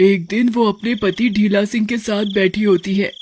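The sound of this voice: Someone does a cartoonish character voice at a fairly high pitch and a moderate pace.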